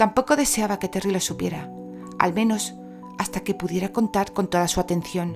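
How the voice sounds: A natural reading voice, nothing more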